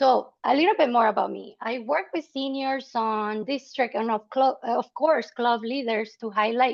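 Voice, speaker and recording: Speaking with a Salvadoran accent, a woman uses a high pitch and ordinary pitch variation. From El Salvador. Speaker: nonprofit membership officer. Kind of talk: webinar presentation. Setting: online webinar. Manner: hesitant with fillers.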